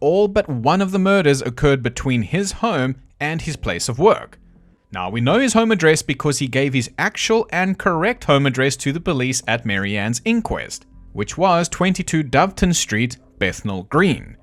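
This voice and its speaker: Delivered at a moderate pace, the speech carries a South African accent and very wide pitch swings. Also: man, fairly high pitch for a man. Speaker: true crime narrator. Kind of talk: casual narration. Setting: home recording, bird audible. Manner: blunt.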